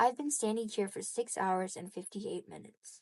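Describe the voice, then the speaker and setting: A woman puts on a raspy character voice, fairly high in pitch, with lively intonation. She talks at a moderate pace, her loudness swinging widely. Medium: read story. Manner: earnest.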